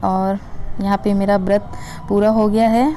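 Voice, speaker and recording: At a fairly slow pace, a woman speaks with a medium pitch. Music plays in the background. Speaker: vlogger, housewife. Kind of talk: casual vlog narration. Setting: at home, kitchen and shrine.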